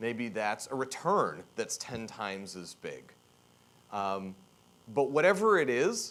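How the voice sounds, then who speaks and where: A man speaks loudly, with vocal fry in his voice. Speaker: keynote speaker, tech executive. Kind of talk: conference keynote talk. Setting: stage with audience. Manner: provocative, energetic.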